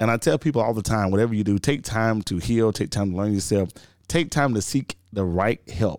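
On a very clean recording with a silent background, a man with a Southern US accent speaks fairly quickly in a fairly low voice with ordinary pitch variation. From Georgia, US South. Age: 30s. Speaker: radio host and podcaster. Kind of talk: casual chat.

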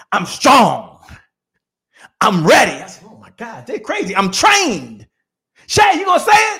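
Using a raised, projected voice, a man speaks at a fairly slow pace with an extremely high pitch, very wide pitch swings, big swings in loudness and long, frequent pauses. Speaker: motivational speaker and sales coach. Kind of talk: pep talk. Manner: punchy, rallying, exhorting.

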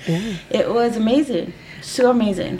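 Lively intonation from a woman with a Spanish accent, over noticeable background noise. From East LA. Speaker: podcast host, employment attorney. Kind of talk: casual interview chat.

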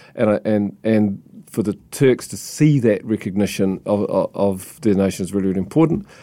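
This man's pitch sits fairly low, and his tone is dark and mellow. He talks at a moderate pace with ordinary pitch variation. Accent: New Zealand. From New Zealand, Christchurch. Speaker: book publisher. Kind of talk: interview. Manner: halting.

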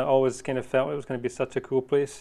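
A man speaks with a Scottish accent. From Scotland. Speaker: wildlife photographer. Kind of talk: casual interview chat.

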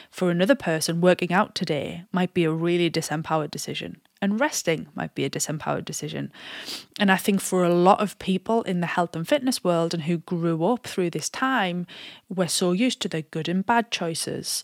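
In a very clean recording with a silent background and a dry, close sound with no echo, a woman with a normal speaking voice and fairly low pitch speaks at a fairly quick pace with ordinary pitch variation. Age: 30s. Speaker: fitness coach and podcast host. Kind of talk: solo podcast monologue.

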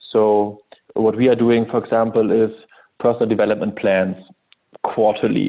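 Here a man speaks in a monotone, flat intonation at a moderate pace. Long pauses come frequently. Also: medium pitch for a man. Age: 30s. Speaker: head of sales. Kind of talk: interview.

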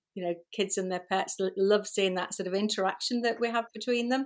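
A woman with a Liverpool accent talks at a fairly quick pace and medium pitch, her intonation monotone and flat, on a very clean recording with a silent background. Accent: Scouse. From Liverpool, England. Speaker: pet photographer. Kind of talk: casual interview chat.

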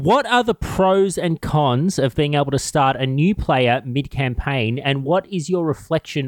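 An unremarkable speaking voice belongs to a man with a fairly high pitch and ordinary pitch variation. He talks at a moderate pace in a dry, close sound with no echo. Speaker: player and Q&A moderator. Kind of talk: casual chat.

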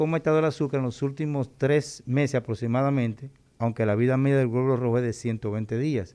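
Over a quiet background, a man with a Dominican accent talks at a fairly quick pace in a medium pitch, his dark, mellow tone holding very even loudness and ordinary pitch variation. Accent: Dominican Caribbean Spanish. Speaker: endocrinologist doctor. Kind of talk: radio interview on health. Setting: radio studio.

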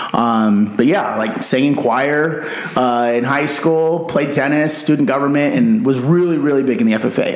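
With an American accent and a fairly high pitch, a man speaks amid noticeable background noise and audible room echo. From Arizona, Yuma. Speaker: gym member and former soldier. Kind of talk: casual chat.

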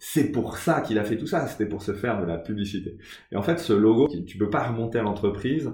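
A man talks in a fairly low pitch, somewhat breathy. His pitch variation is ordinary. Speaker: podcast host and interviewer. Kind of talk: interview. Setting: recording at the guest's home.

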